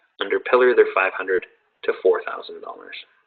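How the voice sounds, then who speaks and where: This man talks at a fairly quick pace. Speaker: insurance sales director presenting products. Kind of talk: sales presentation. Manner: fast.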